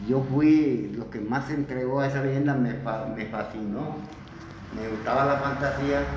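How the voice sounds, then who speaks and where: In a room with audible echo and noticeable background noise, a man of medium pitch speaks at a fairly slow pace with fairly even intonation. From Colombian Caribbean coast, Plato, Magdalena. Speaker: cultural performer of a local legend. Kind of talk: interview.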